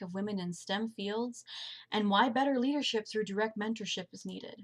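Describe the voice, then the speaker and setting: A woman with a somewhat breathy, fairly high voice speaks at a moderate pace with ordinary pitch variation. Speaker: community college student. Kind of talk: class presentation.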